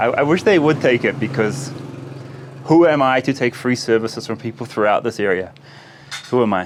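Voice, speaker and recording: A man with a New Zealand accent speaks at a fairly quick pace with medium pitch and ordinary pitch variation. He takes long, frequent pauses, and there is noticeable background noise. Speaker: travel vlogger. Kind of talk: travel vlog narration.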